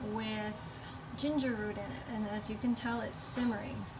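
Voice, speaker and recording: A soft-spoken voice goes at a moderate pace with audible room echo. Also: woman. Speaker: lifestyle vlogger. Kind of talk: casual vlog chat. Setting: indoors at home.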